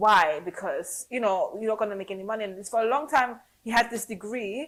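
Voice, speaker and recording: At a fairly quick pace, the speaker uses a normal speaking voice with big swings in loudness and ordinary pitch variation. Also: woman, fairly high pitch for a woman. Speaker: podcast interviewer. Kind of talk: casual podcast conversation.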